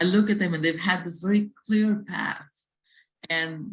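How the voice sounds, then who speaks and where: A woman's somewhat breathy voice, fairly low in pitch, moves at a moderate pace with fairly even intonation. The background is quiet. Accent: Indian. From South India. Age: 50s. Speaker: chef and restaurateur. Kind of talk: interview talk at virtual museum event. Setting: virtual event. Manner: hesitant, with fillers and repetitions.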